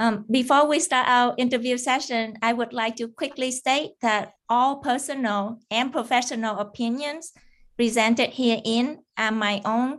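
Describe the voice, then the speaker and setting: The speaker has a Vietnamese accent. The background is quiet. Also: woman. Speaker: cybersecurity engineer. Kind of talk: interview. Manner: halting, many fillers.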